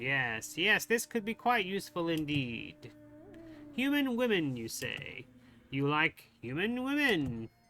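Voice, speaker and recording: At a middle pitch with very wide pitch swings, a put-on character voice plays over music in the background. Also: fairly slow pace. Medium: game stream. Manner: gloating, scheming.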